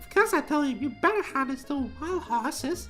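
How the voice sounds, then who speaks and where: A squeaky, put-on character voice with lively intonation at a moderate pace, with clear music in the background. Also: woman. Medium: game stream. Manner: chatty, breathless.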